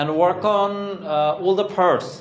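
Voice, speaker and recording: A man with a Bengali accent, amid noticeable background noise and audible room echo. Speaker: English teacher. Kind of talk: classroom lecture.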